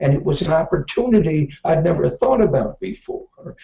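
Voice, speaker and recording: A man with an American accent, music in the background. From Northern California. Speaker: business author and speaker. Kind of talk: keynote speech.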